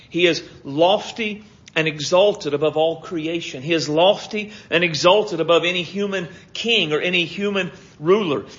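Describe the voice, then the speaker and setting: This voice has ordinary pitch variation, and audible room echo surrounds it. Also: man. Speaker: pastor. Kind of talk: sermon. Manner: stutters over words at times.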